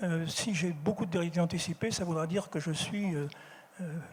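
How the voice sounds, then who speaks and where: Fairly quick speech with fairly even intonation. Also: man. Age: 70s. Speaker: philosopher. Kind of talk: public conference talk. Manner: hesitant, many repetitions.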